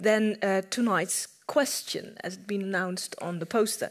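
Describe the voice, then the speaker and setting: At a moderate pace, a woman speaks with ordinary pitch variation over a quiet background. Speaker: event moderator and history professor; event moderator, history professor. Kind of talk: moderating a panel discussion. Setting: stage with audience. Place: hall.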